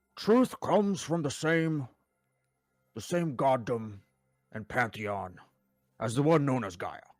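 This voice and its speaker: Using a pompous, put-on character voice at medium pitch, a man speaks at a fairly slow pace with long, frequent pauses. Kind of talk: comic overacting. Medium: actual play. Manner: pompous, lecturing.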